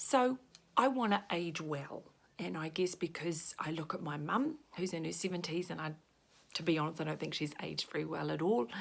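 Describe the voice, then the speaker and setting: A woman with a New Zealand accent speaks at a fairly quick pace and a fairly low pitch. Her intonation is lively, and vocal fry runs through her voice. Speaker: makeup consultant. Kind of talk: makeup tutorial. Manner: casual.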